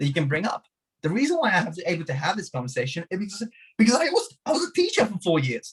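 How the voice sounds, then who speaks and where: At a very fast pace, a man speaks with a high pitch and very wide pitch swings, in a dry, close sound with no echo. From Hungary. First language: Hungarian. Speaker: martial arts teacher and podcast guest. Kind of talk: podcast interview.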